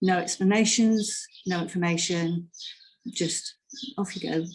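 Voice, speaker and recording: Speaking with a British accent, a woman uses a fairly low pitch and ordinary pitch variation. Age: 60s. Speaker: patient advocate. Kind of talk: testimony.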